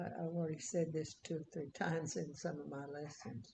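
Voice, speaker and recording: A woman with a fairly low pitch speaks in a somewhat breathy voice with a dark, mellow tone and ordinary pitch variation. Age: 90s. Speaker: Bible teacher. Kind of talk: casual chat. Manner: halting.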